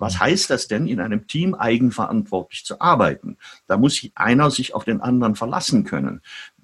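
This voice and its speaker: A man talks at a moderate pace in a medium-pitched voice with vocal fry. His pitch swings very widely. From Germany (Heidelberg, Frankfurt). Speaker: journalist and author. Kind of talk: interview conversation.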